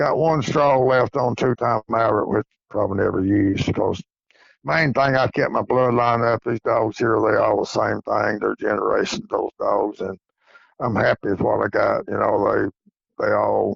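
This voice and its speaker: A moderate pace and very even loudness, in an East Tennessee accent. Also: man. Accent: Southern US (East Tennessee). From East Tennessee, US South. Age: 70s. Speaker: coonhound breeder and hunter. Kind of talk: interview.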